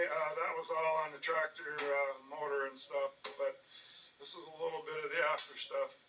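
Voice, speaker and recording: A man keeps a moderate pace while noticeable noise fills the background. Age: 60s. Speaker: DIY tractor restorer, channel owner. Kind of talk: casual workshop vlog narration. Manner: hesitant with frequent uh fillers.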